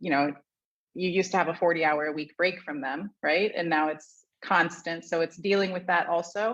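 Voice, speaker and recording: A woman's fairly low voice with a Midwestern American accent, at a moderate pace and fairly even intonation, against a quiet background. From US Midwest, Ohio. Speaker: marketing executive. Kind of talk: casual panel chat. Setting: video call from co-working space.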